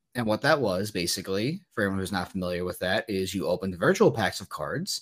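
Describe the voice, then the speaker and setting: Over a silent background in a very clean recording, a man with a normal speaking voice talks at a fairly quick pace with lively intonation. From New Jersey. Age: 20s. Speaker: sports card dealer. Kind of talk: interview.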